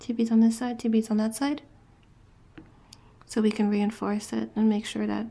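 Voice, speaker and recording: A woman with a fairly high pitch speaks at a moderate pace in a dark, mellow tone that is somewhat breathy. Her intonation is monotone and flat, broken by long, frequent pauses. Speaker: beadwork tutor. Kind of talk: craft tutorial talk to camera. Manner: casual, hesitant with fillers.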